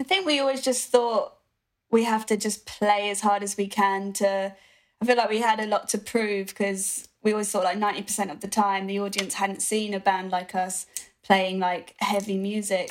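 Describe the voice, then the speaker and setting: A woman with a British accent talks at a moderate pace and medium pitch, her intonation fairly even. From UK. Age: young. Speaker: rock musician. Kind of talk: interview. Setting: video call.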